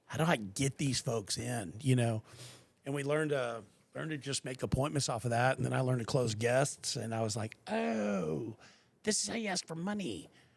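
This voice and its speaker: With an American accent and an ordinary speaking voice, a man talks at a moderate pace and medium pitch with lively intonation. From Texas, Austin. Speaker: podcast host. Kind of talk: casual chat.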